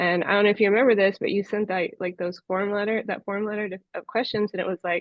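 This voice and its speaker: A woman with an American accent rattles off words at a very fast pace, her medium-pitched voice held in a flat monotone. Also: hardly any pauses. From US Southwest, Las Vegas. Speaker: Parkinson's patient advocate. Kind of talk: interview conversation.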